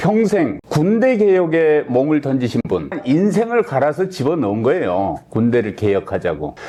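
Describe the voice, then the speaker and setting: A man's fairly high, dark, mellow voice at a fairly slow pace, very even loudness, hardly any pauses and very wide pitch swings. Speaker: talk show host. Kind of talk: interview host talk.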